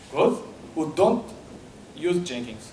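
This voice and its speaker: A man with a Portuguese accent speaks at a fairly slow pace in a high voice with very wide pitch swings. Audible room echo and light background noise are present. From Portugal, Porto. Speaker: software developer. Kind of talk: conference talk. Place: hall. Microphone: handheld.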